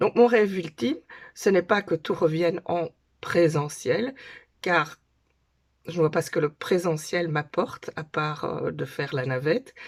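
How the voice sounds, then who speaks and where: With long, frequent pauses, a woman speaks fairly slowly at a fairly low pitch with ordinary pitch variation on a very clean recording with a silent background. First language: Dutch (speaking French). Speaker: conference interpreter. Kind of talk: casual talk to camera. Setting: home, daughters' bedroom. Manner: hesitant, with filler sounds.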